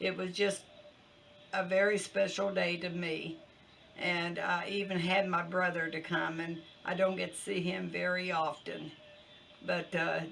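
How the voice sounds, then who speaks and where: Over noticeable background noise, a woman talks at a fairly low pitch and fairly slow pace with monotone, flat intonation. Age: 70s. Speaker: cooking channel host. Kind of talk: casual vlog update. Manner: halting, many fillers.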